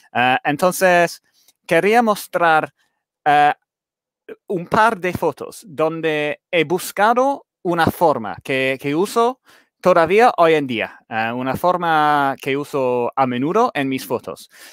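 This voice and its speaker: Very slow, fairly high-pitched male speech with an English accent and lively intonation, dry with no echo, over a quiet background. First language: English (speaking Spanish). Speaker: light painting photographer; guest. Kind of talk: photography talk on a live stream. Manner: halting, many hesitations. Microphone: headset.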